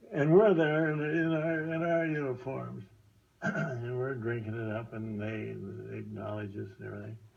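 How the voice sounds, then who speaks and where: Speaking at a fairly slow pace with long, frequent pauses, a man with an American accent and a medium pitch uses lively intonation and big swings in loudness, amid audible room echo and noticeable background noise. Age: 90s. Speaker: war veteran. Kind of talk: testimony. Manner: halting.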